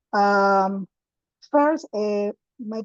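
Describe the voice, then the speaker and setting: A woman speaks with a Spanish accent at medium pitch. Her pitch variation is ordinary. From Ecuador. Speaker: activist, director of an LGBTQ organization. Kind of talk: prepared presentation read aloud.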